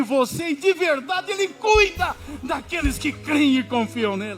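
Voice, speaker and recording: Music plays in the background behind a man. He speaks very slowly at an extremely high pitch. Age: 60s. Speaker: pastor. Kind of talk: sermon. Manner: animated.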